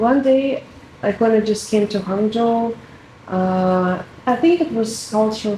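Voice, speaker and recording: A woman talks fairly slowly, with audible room echo and noticeable background noise around her. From Russia. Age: 20s. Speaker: international student. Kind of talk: interview.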